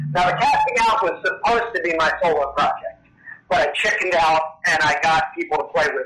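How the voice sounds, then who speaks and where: A high-pitched man at a fairly quick pace, with ordinary pitch variation and noticeable background noise. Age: 40s. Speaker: punk band frontman and Satanist. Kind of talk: interview.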